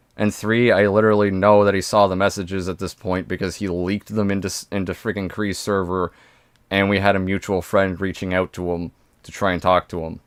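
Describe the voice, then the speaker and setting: On a very clean recording with a silent background, the speaker goes at a fairly quick pace. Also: man, fairly low pitch for a man. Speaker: streamer reacting to videos. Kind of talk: live stream reaction commentary. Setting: live stream with voice chat. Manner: stumbles over words on stream; animated.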